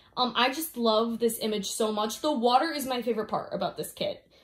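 Over a quiet background, the speaker sounds animated and enthusiastic, keeping a moderate pace and ordinary pitch variation. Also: woman. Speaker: diamond painting vlogger. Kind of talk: casual video review, chatty monologue. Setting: home, filming to camera with loud AC fan. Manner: animated, enthusiastic, chatty. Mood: enthusiastic, warm. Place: home room. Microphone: phone near.

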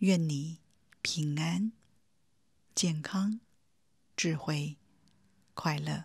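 A woman with a very deep, low pitch speaks very slowly in a calm, gentle, somewhat breathy tone, with ordinary pitch variation and long, frequent pauses. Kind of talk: guided meditation. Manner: calm, gentle, warm, addressing the listener directly as 你.

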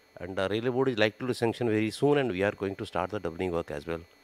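A man's fairly low voice, very fast pace, dry sound with no echo. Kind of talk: interview answer. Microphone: handheld.

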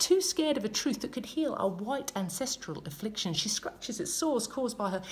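With an animated tone, a woman speaks high, her pitch swinging very widely. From Australia. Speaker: spoken word poet. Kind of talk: spoken word poetry performance. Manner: rhythmic, emphatic, politically charged delivery; animated, pointed, sarcastic in places. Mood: passionate, indignant. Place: home room. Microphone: phone near.

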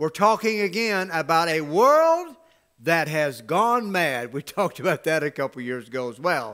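A man's bright, sharp, animated voice at a fairly high pitch, with lively intonation at a moderate pace, over a quiet background. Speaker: pastor. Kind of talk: sermon. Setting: church with livestream camera. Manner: animated, exhortative preaching with call-and-response; emphatic, rhetorical questions and repeated phrases. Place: church.

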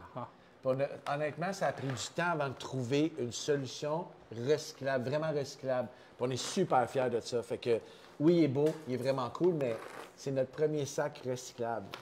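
A man with a Quebec accent talks at a moderate pace in a fairly high voice and an animated tone. Light background noise is audible. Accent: Québécois French. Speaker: coffee company co-founder. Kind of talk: casual chat. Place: office.

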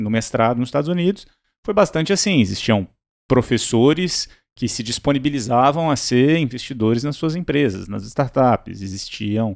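Over a quiet background, a man with a medium pitch talks at a moderate pace with lively intonation. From Brazil, Minas Gerais then Brasília. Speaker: startup CEO; podcast guest. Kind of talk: interview. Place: studio. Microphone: studio mic.

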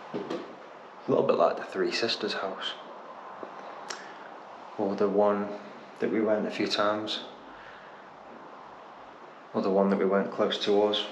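A man talks at a moderate pace while noticeable background noise runs behind him. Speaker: urban explorer vlogger. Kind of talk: casual vlog chat. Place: empty room. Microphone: phone near.

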